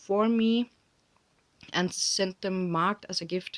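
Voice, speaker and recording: Speaking in a Danish accent, a woman uses a medium pitch and fairly even intonation. Her pace is very slow. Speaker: crafting vlogger. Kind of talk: casual chat. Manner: halting.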